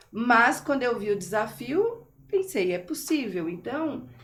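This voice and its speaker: An animated tone with audible room echo. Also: woman. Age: 50s. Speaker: teacher. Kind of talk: podcast interview.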